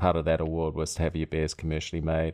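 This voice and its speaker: A man talks with a slight New Zealand accent. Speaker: brewery founder. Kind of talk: casual interview chat.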